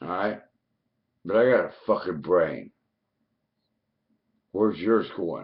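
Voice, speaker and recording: A man talking at a fairly slow pace. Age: 50s. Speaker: conspiracy vlogger. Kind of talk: angry rant. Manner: animated.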